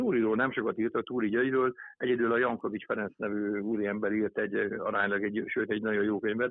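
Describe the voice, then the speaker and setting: At a very fast pace, a man talks in a medium pitch with monotone, flat intonation and very even loudness. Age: 50s. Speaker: author and archery coach. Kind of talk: interview. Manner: halting.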